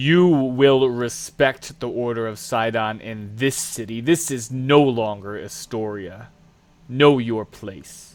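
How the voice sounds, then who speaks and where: In a booming, put-on character voice, the speaker goes at a fairly slow pace with ordinary pitch variation. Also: man, medium pitch for a man. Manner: commanding, echoing.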